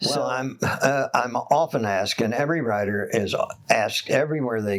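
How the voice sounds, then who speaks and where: Moderate-paced talking from a man, ordinary pitch variation, noticeable noise behind. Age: 80s+. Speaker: writer. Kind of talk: interview answer.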